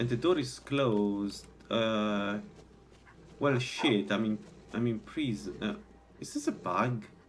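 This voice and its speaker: A man with a strong Italian accent speaks at a very slow pace, with long, frequent pauses, a medium pitch and ordinary pitch variation. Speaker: video game streamer. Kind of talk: live gameplay commentary. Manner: halting.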